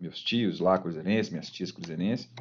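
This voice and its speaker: The speaker talks at a moderate pace with lively intonation. It is an unremarkable speaking voice. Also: man. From Minas Gerais, Brazil (Belo Horizonte, Ouro Branco). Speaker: football fan, former youth team director and kit man. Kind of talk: casual interview.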